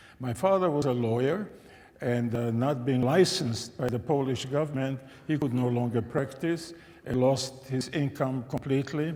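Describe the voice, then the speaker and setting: A man speaks in a medium pitch. Audible room echo hangs around his voice. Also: ordinary pitch variation, moderate pace. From Czechoslovakia (Český Těšín, Silesia). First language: German. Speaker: Holocaust survivor and religion scholar. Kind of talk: testimony talk to an audience. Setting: church with live audience.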